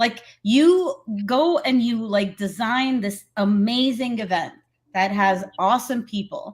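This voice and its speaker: Speaking very slowly, a woman uses a fairly high pitch with ordinary pitch variation. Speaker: show host. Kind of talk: casual chat. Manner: loud.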